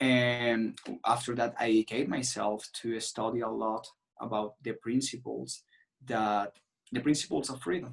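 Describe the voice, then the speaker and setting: In a Venezuelan accent, a man speaks at a fairly slow pace with a medium pitch and fairly even intonation. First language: Spanish. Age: 20s. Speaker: political activist. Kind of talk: interview. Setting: video call. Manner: halting.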